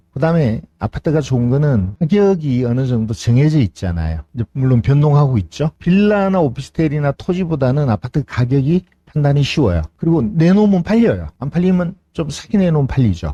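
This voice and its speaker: With a dark, mellow tone and a fairly high pitch, a man talks at a fairly quick pace with hardly any pauses, sounding somewhat breathy and using very wide pitch swings, in a dry, close sound with no echo. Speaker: real estate auction instructor. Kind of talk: lecture.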